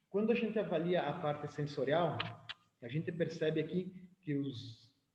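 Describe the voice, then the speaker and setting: A somewhat breathy man talks at a moderate pace with ordinary pitch variation in a room with audible echo. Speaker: winemaker giving a lecture. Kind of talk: lecture.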